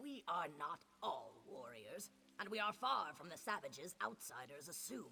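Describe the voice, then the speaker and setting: A man puts on a high-pitched character voice with very wide pitch swings. He keeps a moderate pace. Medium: video game. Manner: solemn, measured.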